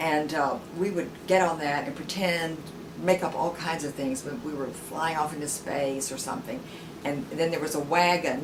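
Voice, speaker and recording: A woman's very deep, low voice in an American accent, moderate in pace with fairly even intonation, amid audible room echo and noticeable background noise. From US South, rural Tennessee. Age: 70s. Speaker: interviewee. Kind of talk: oral history interview. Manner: halting, many fillers and repeats.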